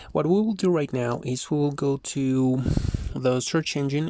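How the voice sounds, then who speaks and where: Ordinary pitch variation and a moderate pace in a man's medium-pitched voice. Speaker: CCNA network engineer and junior Python programmer. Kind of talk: educational tutorial narration. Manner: soft-spoken, calm.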